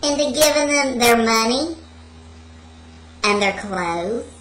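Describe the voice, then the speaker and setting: In a put-on character voice, a female-sounding speaker uses a high pitch for a woman at a fairly slow pace over clear background noise. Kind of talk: comic spooky bedtime story. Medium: solo performance. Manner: rambling, digressive, giggling.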